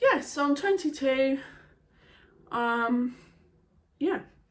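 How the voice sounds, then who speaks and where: A woman with an English accent speaks with lively intonation. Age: 20s. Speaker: beauty vlogger. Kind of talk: casual chat.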